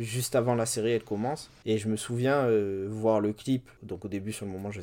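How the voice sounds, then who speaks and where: The tone is dark and mellow, the delivery fairly quick, and the intonation fairly even. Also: man. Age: 20s. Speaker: writer and poet. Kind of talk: interview. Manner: halting.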